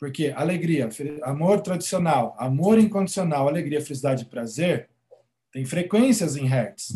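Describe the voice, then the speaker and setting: Using lively intonation, a man with a fairly high pitch talks in an unremarkable speaking voice. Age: 40s. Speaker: gratitude coach and therapist. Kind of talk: interview conversation.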